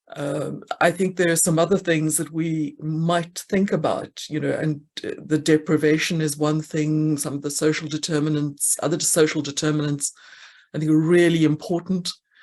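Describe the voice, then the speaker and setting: Against a quiet background, a woman speaks with a South African accent. Her pitch is very deep and low, and her intonation monotone and flat. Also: moderate pace. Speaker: actuary, conference speaker. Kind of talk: conference Q&A answer. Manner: halting.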